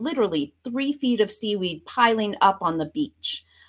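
A woman speaks in a normal speaking voice with an American accent, fairly high in pitch. Her pace is fairly slow, and the recording is very clean with a silent background. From Vermont, US Northeast. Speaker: professor. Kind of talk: interview.

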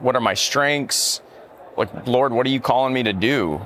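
A man amid noticeable background noise. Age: 30s. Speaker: military chaplain. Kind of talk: casual chat. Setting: conference floor.

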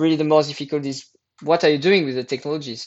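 A man speaks with a French accent. His intonation stays fairly even. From France. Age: 30s. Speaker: environmental entrepreneur. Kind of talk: interview. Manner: halting.

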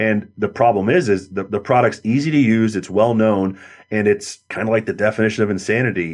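This man has a normal speaking voice, talking at a fairly quick pace with ordinary pitch variation. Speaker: pest control industry market manager. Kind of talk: interview, conversational expert talk.

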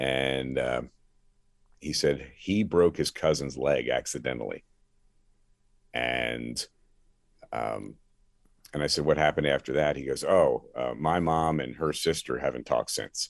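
A man's very deep, low voice with an American accent and vocal fry, at a fairly slow pace with long, frequent pauses. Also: ordinary pitch variation. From US Northeast, Philadelphia area. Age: 60s. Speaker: pastor, former sports radio host. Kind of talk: testimony.

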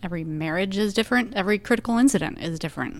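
Ordinary pitch variation marks this woman's speech. The background is silent and the recording very clean. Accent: Texan. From Texas, Arlington. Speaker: government relations director and police spouse. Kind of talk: interview conversation.

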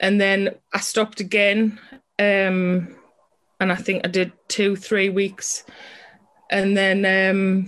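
The speaker sounds nervous and talks at a very slow pace with a strong British accent. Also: woman. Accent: British English, strong regional. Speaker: person in recovery from alcohol. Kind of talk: casual interview.

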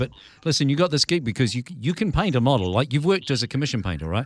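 Talking at a very fast pace, a man with a New Zealand accent uses lively intonation. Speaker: podcast host. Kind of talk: podcast interview. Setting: radio desk, remote call.

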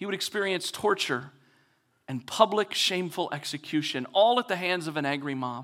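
Bright and sharp in tone, a man speaks at a high pitch and moderate pace with lively intonation, on a very clean recording with a silent background. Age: 40s. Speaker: pastor. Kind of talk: sermon. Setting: church stage.

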